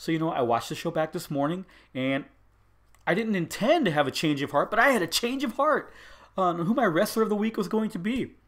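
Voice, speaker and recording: A man's high-pitched voice with very wide pitch swings at a fairly quick pace, on a very clean recording with a silent background. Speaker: wrestling podcast host. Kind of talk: solo podcast review. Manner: fast; mumbling.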